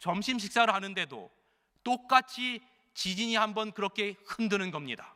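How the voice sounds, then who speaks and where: A man's raised, projected voice, bright and sharp in tone, with fairly even intonation and a dry, close sound free of echo. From Chungcheong province, South Korea. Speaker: senior pastor. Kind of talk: sermon. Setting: church. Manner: fairly fast, not slow Chungcheong pace.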